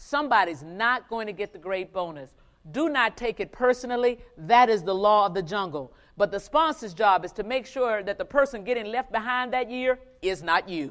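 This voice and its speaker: A woman talks at a moderate pace in a plain, everyday voice, pitched fairly high with lively intonation. The recording is very clean, with a silent background. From US South. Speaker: finance executive giving keynote. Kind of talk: motivational keynote speech. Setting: stage with live conference audience.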